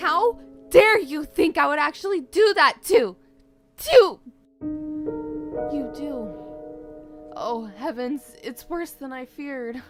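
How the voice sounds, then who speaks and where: A high-pitched, put-on character voice at a very slow pace with long, frequent pauses and faint music in the background. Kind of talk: formal old-fashioned speech. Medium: fan dub.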